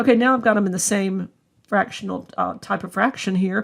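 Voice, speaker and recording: Speaking fairly quickly at a medium pitch, a woman keeps her intonation fairly even, with vocal fry in her voice. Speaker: math instructor. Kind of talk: lecture.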